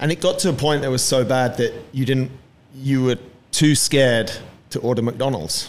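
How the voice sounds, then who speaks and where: At a moderate pace, a man with a normal speaking voice talks at a medium pitch with ordinary pitch variation. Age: 40s. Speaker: podcast host and fitness coach. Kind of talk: show announcements; casual interview. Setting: studio with mics and video.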